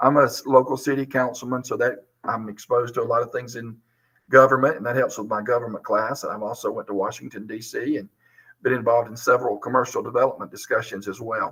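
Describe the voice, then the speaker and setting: Talking at a very fast pace in a Southern US accent, a man lets his loudness swing widely. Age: 50s. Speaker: high school teacher. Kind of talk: video interview monologue.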